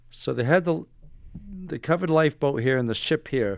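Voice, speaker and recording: An American accent at a moderate pace, in a plain, everyday voice. The recording is very clean, with a silent background. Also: man. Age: 60s. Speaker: retired navy special forces operator and author. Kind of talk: casual interview.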